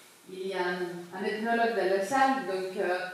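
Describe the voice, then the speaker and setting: Audible room echo and noticeable background noise accompany a voice with ordinary pitch variation. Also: woman. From Cyprus. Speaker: sociologist. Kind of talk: public talk. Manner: hesitant, many fillers.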